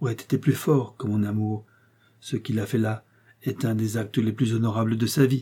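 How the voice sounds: The voice is a natural reading voice. Its intonation stays fairly even.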